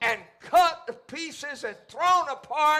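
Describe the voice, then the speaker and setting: A man's raised, projected voice in a passionate tone at a fairly slow pace, over a quiet background. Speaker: pastor. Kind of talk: church sermon, preaching to congregation. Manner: emphatic, passionate preaching. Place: church.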